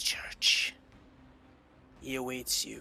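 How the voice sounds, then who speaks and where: A man puts on a character voice. He whispers. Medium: actual play. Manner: terse, commanding.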